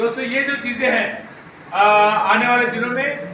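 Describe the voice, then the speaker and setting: With noticeable background noise and audible room echo, a man projects his voice loudly at an extremely high pitch. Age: 80s+. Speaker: trade union leader. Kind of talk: speech at union annual meeting. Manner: halting, many fillers and restarts.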